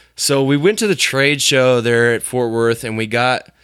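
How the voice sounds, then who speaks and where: In a Midwestern US accent, a bright, sharp tone moves at a fairly slow pace with fairly even intonation, on a very clean recording with a silent background. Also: man. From rural Illinois. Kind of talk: casual chat.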